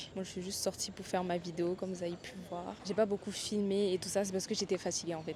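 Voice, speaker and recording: The woman's medium-pitched voice races along at a very fast pace. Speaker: vlogger. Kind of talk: casual travel vlog. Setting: outdoors, bus stop on road trip; hotel room. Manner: casual, hesitant fillers.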